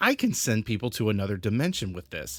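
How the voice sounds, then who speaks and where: A man uses a put-on character voice at a fairly low pitch. He talks at a very fast pace. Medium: read story.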